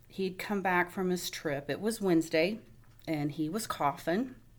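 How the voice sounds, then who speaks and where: A woman's unremarkable speaking voice, fairly low in pitch, with ordinary pitch variation. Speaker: nurse, wife. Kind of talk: interview testimony.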